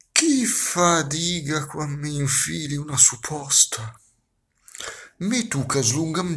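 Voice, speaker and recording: At a very slow pace, a man with a Milanese accent speaks at a fairly high pitch with lively intonation over music in the background. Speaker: actor. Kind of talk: poetry reading. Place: home room. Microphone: phone near.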